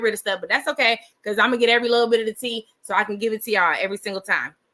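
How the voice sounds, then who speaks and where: Talking very fast, a woman uses a fairly high pitch and an animated tone. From California. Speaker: gossip commentary livestream host. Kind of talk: casual livestream chat. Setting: livestream with live chat.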